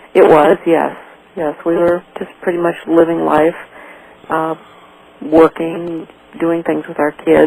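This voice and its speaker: With noticeable background noise, a woman speaks very slowly in a monotone, flat delivery marked by long, frequent pauses. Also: fairly low pitch for a woman. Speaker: mother of a kidnapped child. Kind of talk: radio interview. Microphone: too quiet.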